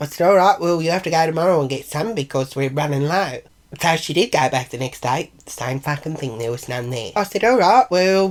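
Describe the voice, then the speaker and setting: A woman with a strong Australian accent speaks at a very deep, low pitch with lively intonation. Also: fairly quick pace. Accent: broad Australian. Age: 60s. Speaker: vlogger. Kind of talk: casual vlog monologue.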